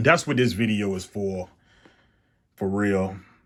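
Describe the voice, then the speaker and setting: At a fairly slow pace, a man talks. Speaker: sneaker reviewer. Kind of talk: product review. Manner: loud; casual.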